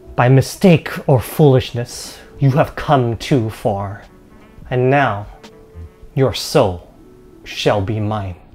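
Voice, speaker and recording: Whispering in a put-on character voice, a man speaks at a very slow pace with long, frequent pauses. Faint music plays behind him. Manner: whispering, malicious.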